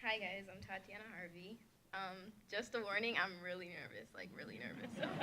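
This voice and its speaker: A woman with an American accent, shaky and mid-pitched, at a moderate pace with fairly even intonation and big swings in loudness, amid noticeable background noise and audible room echo. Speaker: community college student. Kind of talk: prepared speech.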